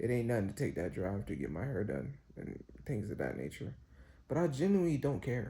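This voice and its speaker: Speaking at a moderate pace, a man with a medium pitch and a dark, mellow tone shows vocal fry and very wide pitch swings. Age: 20s. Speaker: vlogger. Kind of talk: casual monologue. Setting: hotel room. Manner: halting.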